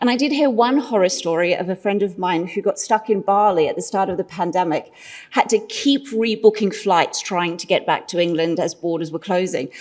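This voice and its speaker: Lively in intonation, a woman with an Australian accent talks at a fairly quick pace with hardly any pauses. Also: medium pitch for a woman. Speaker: marketing consultant, conference speaker. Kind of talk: conference presentation.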